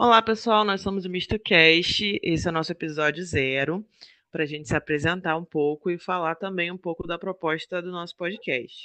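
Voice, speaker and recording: Speaking at a moderate pace with a Rio de Janeiro accent, a man uses a high pitch and ordinary pitch variation. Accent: carioca. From Rio de Janeiro, Brazil. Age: 30s. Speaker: podcast co-host. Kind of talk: casual podcast introduction.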